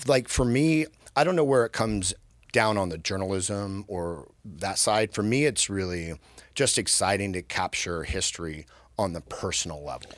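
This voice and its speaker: Lively intonation marks this man's fairly low-pitched voice at a moderate pace. The recording is very clean, with a silent background. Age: 50s. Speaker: military veteran and podcast host. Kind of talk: casual chat. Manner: halting, repeats words.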